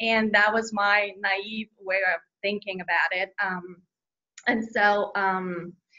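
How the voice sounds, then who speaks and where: A woman speaks very slowly at a medium pitch. Her intonation is monotone and flat. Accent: Bulgarian. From Bulgaria. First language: Bulgarian. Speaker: children's book author. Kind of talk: interview. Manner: hesitant, many fillers.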